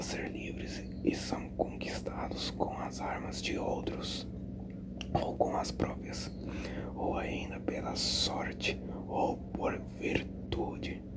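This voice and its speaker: The voice is a whisper at a very slow pace. Noticeable background noise is audible too. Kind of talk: ASMR book reading. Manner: whispered.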